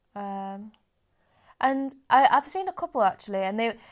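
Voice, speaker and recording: An English accent on a very clean recording with a silent background. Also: woman. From England. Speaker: podcast co-host. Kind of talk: casual chat.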